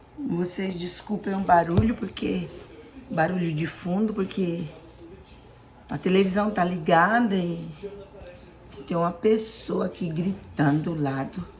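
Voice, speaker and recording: Noticeable background noise sits under a woman's fairly low voice. She talks at a fairly slow pace with ordinary pitch variation and long, frequent pauses. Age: 60s. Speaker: home cook. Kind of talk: cooking tutorial.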